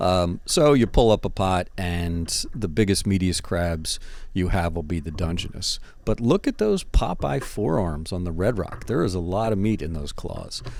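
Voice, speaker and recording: With an East Coast US accent, a man talks at a moderate pace in a very deep, low voice with ordinary pitch variation. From US East Coast. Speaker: underwater photographer and video host. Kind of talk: casual commentary over underwater footage. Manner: animated.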